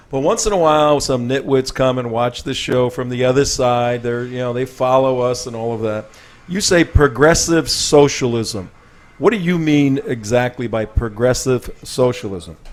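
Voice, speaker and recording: Medium pitch from a man at a moderate pace, ordinary pitch variation, and noticeable background noise. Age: 60s. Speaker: talk show host. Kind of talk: interview.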